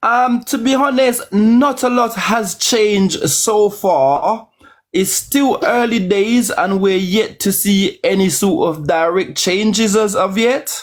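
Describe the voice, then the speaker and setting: With a Caribbean accent and a high pitch, the man speaks at a very slow pace with lively intonation, very even loudness, and hardly any pauses. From Jamaica. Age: 40s. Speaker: caller. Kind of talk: casual chat.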